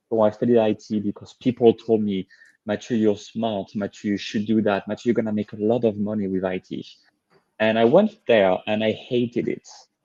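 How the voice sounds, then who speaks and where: A man's fairly low, dark and mellow voice in a French accent, flat and monotone, at a fairly quick pace, dry and close with no echo over a quiet background. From France. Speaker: leadership coach. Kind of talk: interview.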